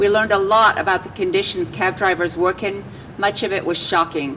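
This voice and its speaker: A woman speaks at medium pitch and a moderate pace amid noticeable background noise. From England. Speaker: city politician. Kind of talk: press conference speech.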